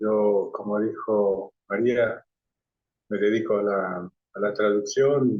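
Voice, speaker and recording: A man speaks with a non-native accent. His pitch is fairly low. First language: not Spanish (speaking Spanish). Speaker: translator. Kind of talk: discussion comment. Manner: halting.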